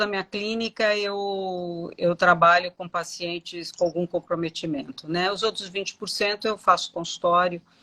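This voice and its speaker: In a dry, close sound with no echo, a woman speaks at a fairly slow pace with a bright, sharp tone. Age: 60s. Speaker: dentist. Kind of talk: live interview.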